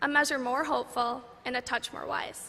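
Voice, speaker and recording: Using a raised, projected voice with an American accent, a woman speaks at a moderate pace and a high pitch with fairly even intonation. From Minnesota. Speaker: college graduate. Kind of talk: commencement speech.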